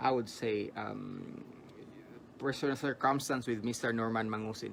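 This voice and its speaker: The man's voice sits at a medium pitch with fairly even intonation. He speaks at a moderate pace. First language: Tagalog. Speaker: vlogger interviewer. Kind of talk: interview.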